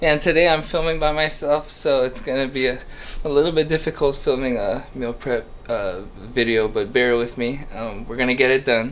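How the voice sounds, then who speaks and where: A man mumbles at a moderate pace. His pitch sits in the medium range. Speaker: home cook, meal prep video host. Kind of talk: casual cooking talk to camera. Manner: hesitant, stuttering, mumbling.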